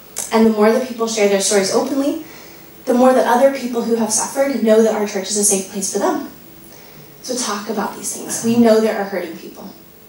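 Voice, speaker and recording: A woman talks at a very fast pace in a fairly high voice with ordinary pitch variation. The recording has noticeable background noise and audible room echo. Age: 30s. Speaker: pastor. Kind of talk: lecture.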